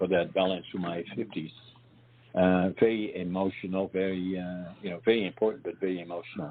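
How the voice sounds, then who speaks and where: This man's voice is very deep and low. He talks at a fairly quick pace. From northeastern Netherlands. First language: Dutch. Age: 80s+. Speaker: war survivor, author. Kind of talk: interview. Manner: halting.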